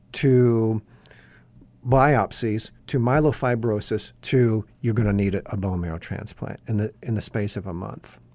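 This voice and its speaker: A man with an American accent and a dark, mellow tone speaks at a moderate pace on a very clean recording with a silent background. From Indiana, US Midwest. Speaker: home builder and counselor, author. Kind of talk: radio interview, personal testimony.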